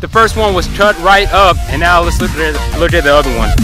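Over clear background music, a man talks at a fairly quick pace in a dry sound with no echo. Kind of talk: casual vlog tutorial. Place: open country. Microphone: phone near.

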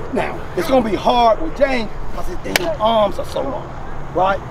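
Over noticeable background noise, a man speaks at a moderate pace in a dry sound with no echo. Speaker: football coach. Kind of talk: coaching instruction. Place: open country. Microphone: camera far.

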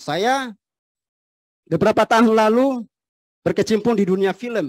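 A man speaks with a dry sound and no echo. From Tidore, North Maluku, eastern Indonesia; North Maluku, Indonesia. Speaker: former film actor and preacher; former film actor, preacher. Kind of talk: religious talk. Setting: mosque with large congregation. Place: hall. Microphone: handheld.

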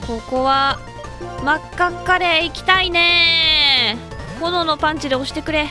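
Music plays behind a woman speaking in a raised, projected voice at high pitch. Her tone is upbeat and excited, with lively intonation. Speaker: voice actor. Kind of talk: casual video game let's play commentary. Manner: upbeat, excited.

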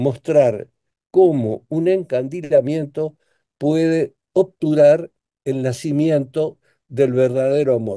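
A man with a dark, mellow tone, a very slow pace and ordinary pitch variation, in a quiet background. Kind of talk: interview answer. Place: home room. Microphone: video call.

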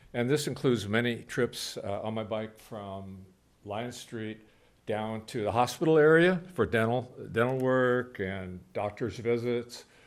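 Spoken at a fairly slow pace with ordinary pitch variation, the voice carries audible room echo. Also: man, medium pitch for a man. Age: 70s. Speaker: public commenter at city council. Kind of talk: public comment speech. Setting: council chamber meeting.

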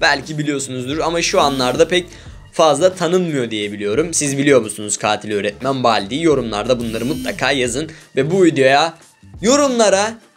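A man talks at an average speed while music plays faintly behind him. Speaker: gaming youtuber. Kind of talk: gameplay commentary. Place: home room.

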